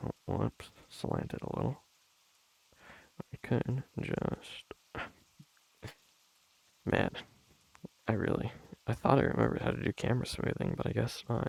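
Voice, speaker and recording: A soft-spoken man at a moderate pace with long, frequent pauses, in a dry, close sound with no echo. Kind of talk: soft-spoken ASMR ramble.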